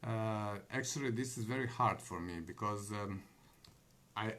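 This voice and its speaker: A man with a non-native accent, a bright, sharp tone, ordinary pitch variation and a fairly slow pace. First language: not English. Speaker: online business vlogger. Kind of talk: live monologue. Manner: halting, many fillers.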